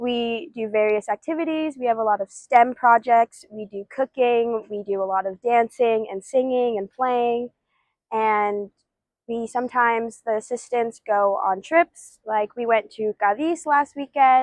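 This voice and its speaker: Speaking in an American accent, a woman has a plain, everyday voice at a fairly high pitch with ordinary pitch variation. Her pace is fairly slow, and the sound is dry and close with no echo. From Ithaca, New York, US. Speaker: education student. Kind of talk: interview testimony.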